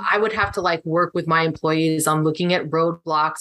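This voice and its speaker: A woman's flat, monotone delivery at a fairly low pitch and fairly quick pace, close and dry with no echo, over noticeable background noise. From US West Coast (San Diego, California). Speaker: marriage and family therapist. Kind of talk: casual chat.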